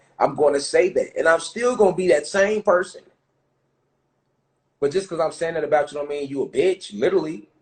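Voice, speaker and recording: This man speaks at a fairly quick pace. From Chicago, US Midwest. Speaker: conspiracy commentator. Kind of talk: livestream rant. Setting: live stream. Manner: fast; animated.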